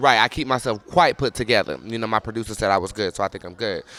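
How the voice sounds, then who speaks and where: This man speaks at a very fast pace with an American accent. His tone is bright and sharp. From North Carolina (Charlotte). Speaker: vlogger. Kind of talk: casual monologue.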